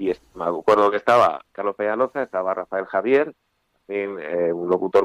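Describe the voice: Low in pitch with ordinary pitch variation, a man speaks in a clear, smooth tone. The sound is dry and close, with no echo.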